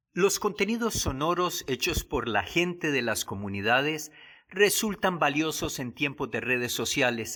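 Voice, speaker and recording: On a very clean recording with a silent background, a man with a bright, sharp tone speaks at a fairly slow pace with very wide pitch swings. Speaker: professor and program host. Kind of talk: radio program narration and interview.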